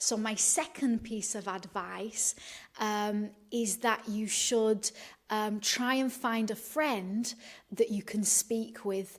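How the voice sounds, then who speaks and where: In a very clean recording with a silent background, a woman with a Manchester accent talks at a very slow pace in a fairly high pitch. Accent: Northern English (Manchester). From Manchester, UK. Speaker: English teacher. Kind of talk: educational talk to camera. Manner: hesitant, many filler sounds.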